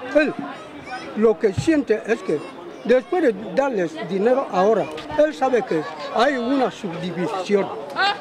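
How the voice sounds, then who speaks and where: Over crowd noise, a man speaks fairly slowly at a high pitch, with very wide pitch swings and long, frequent pauses. The sound is dry, with no echo. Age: old. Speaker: interviewed local resident. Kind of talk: interview answer. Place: street.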